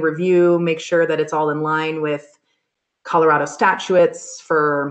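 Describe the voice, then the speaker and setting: The background stays quiet. Words come at a moderate pace. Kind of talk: presentation to meeting. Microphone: video call.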